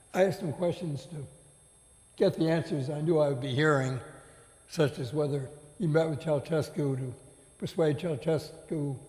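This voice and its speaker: Somewhat breathy speech comes at a moderate pace with ordinary pitch variation and long, frequent pauses, with audible room echo around it. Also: man, fairly high pitch for a man. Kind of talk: on-stage interview.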